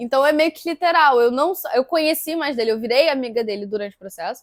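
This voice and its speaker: Intonation rises and falls in a lively way as the speaker moves along fairly quickly. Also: woman. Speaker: actress and physics student. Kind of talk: interview. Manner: fast.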